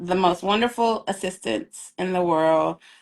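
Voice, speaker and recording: A woman with a slight Southern US accent and a bright, sharp tone, at a moderate pace with ordinary pitch variation. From US South, rural. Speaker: author. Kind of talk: interview. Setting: live video stream.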